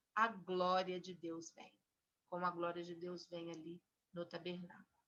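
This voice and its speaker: The woman takes her time, talking rather slowly. Her tone sounds bright and sharp. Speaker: Bible teacher. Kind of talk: Bible study teaching.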